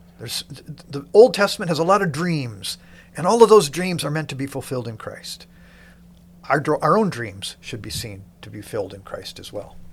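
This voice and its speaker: A man with a fairly high pitch speaks at a moderate pace. His voice swings very widely in pitch and has vocal fry. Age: 60s. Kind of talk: interview, podcast promoting a Bible reading program.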